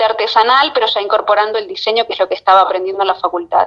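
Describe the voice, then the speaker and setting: Her pitch sits fairly high, and this woman's pitch variation is ordinary. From Argentina, Buenos Aires coast (Mar de Ajó). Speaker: fashion designer. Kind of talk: interview. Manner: hesitant, with repetitions.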